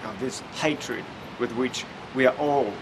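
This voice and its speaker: A man speaks at a medium pitch with fairly even intonation. Noticeable background noise can be heard. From Russia. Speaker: neuroscientist and public speaker. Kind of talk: vlog talk to camera. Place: hall.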